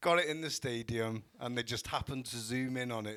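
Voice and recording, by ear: With a fairly bright tone, a man speaks at a fairly quick pace in a medium pitch with ordinary pitch variation.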